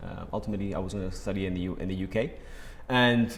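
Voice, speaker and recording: A man speaks very fast in a fairly low voice, his intonation fairly even, with audible echo from the room. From Spain, Málaga. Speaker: real estate agency founder. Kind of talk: interview. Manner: hesitant, repeats words.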